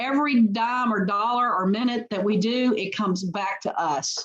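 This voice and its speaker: A woman talks with a Memphis accent. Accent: Southern US (Memphis). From US South, Memphis, Tennessee. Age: 60s. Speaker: company CEO. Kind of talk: interview. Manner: halting, many fillers and repetitions.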